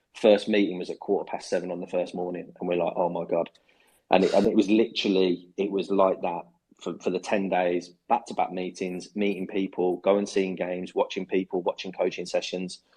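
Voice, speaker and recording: At a fairly quick pace, a man talks in a very deep, low voice with a dark, mellow tone and monotone, flat intonation. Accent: Birmingham. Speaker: football club head of football. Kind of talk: interview. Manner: hesitant, many fillers and repetitions.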